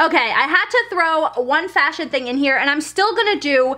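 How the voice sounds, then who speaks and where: A woman uses a raised, projected voice with lively intonation. Noticeable background noise is present. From Germany. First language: German. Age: 20s. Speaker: lifestyle vlogger. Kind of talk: casual vlog talk to camera.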